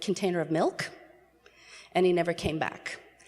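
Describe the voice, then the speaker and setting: At a moderate pace, a woman with an American accent speaks at a fairly low pitch with fairly even intonation over noticeable background noise. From New York City area. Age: 60s. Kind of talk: personal testimony talk.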